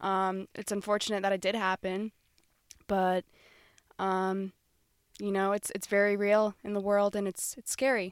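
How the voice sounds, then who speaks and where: The recording is very clean, with a silent background and a dry, close sound with no echo. A woman at a medium pitch speaks at a moderate pace in a monotone, flat way, leaving long, frequent pauses. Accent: American. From Florida. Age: 20s. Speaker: travel podcast co-host. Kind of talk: casual chat.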